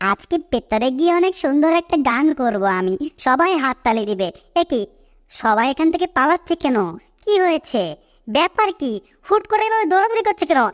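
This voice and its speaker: A put-on character voice with very wide pitch swings, at a moderate pace. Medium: fan dub. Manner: boastful, excitable.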